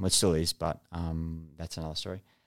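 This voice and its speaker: Very deep and low, a man's voice carries an Australian accent at a moderate pace. His intonation is monotone and flat, and the recording is very clean with a silent background. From Australia, NSW and Northern Territory. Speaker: retired special forces soldier. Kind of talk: casual interview.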